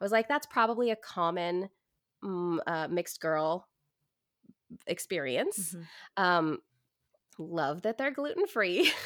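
In a very clean, dry and close recording with a silent background and no echo, a woman with an American accent speaks at medium pitch and a fairly slow pace, with lively intonation and long, frequent pauses. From US Pacific Northwest, Portland, Oregon. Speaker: actor and stand-up comedian. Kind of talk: interview.

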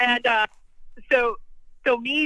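A high-pitched woman with an American accent. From California. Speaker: person in addiction recovery. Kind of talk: personal testimony.

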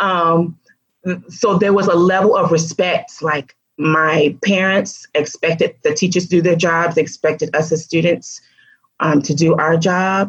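A woman with an American accent speaks at a fairly slow pace in a fairly low, somewhat breathy voice, her loudness very even and her intonation fairly even. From US South (Alabama, Georgia). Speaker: education consultant. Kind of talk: interview.

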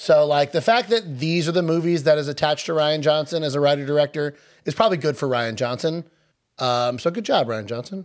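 In a very clean recording with a silent background, a man with an American accent speaks at a fairly quick pace and fairly high pitch, with ordinary pitch variation. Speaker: podcast co-host. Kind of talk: casual chat.

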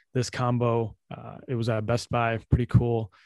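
A man talks at a medium pitch against a quiet background. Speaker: podcast host. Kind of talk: casual chat. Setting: video call. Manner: casual.

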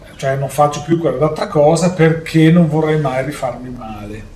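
The speech moves at a moderate pace with fairly even intonation, over noticeable background noise and audible room echo. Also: man. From Italy. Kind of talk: lecture-style talk. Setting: live stream.

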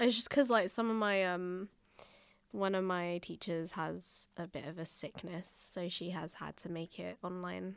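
A woman with an English accent speaks at a moderate pace in a fairly low voice with ordinary pitch variation and big swings in loudness. The recording is very clean, with a silent background. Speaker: podcast host, university student. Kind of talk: casual chat.

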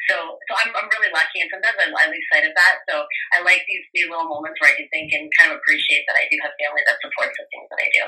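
Over background music, a woman speaks at a very fast pace with hardly any pauses and big swings in loudness. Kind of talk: casual interview.

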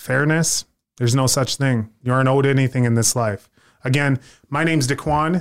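A plain, everyday voice moves at a fairly quick pace with fairly even intonation and very even loudness, in a dry, close sound with no echo. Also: man, medium pitch for a man. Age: 20s. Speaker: podcast host. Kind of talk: casual chat.

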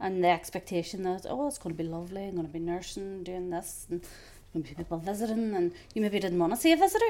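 The speaker talks very fast with a Northern Irish accent. The tone is dark and mellow, and the pitch varies in an ordinary way. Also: woman, medium pitch for a woman. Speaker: podcast co-host. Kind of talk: casual chat.

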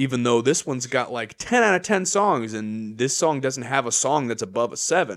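A man talks with an unremarkable speaking voice at a medium pitch. His intonation is lively, with hardly any pauses. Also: moderate pace. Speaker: podcast co-host. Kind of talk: casual chat.

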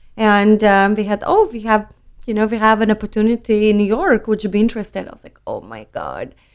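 Very fast and monotone, a woman with a Lithuanian accent speaks at a fairly high pitch with big swings in loudness. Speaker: wine importer. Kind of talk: casual interview chat.

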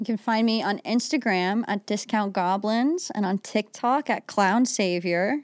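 A woman speaks in a plain, everyday voice with a fairly high pitch and ordinary pitch variation. Her pace is fairly slow with hardly any pauses, recorded very clean against a silent background with a dry, close sound and no echo. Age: 20s. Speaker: stand-up comedian. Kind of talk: casual chat.

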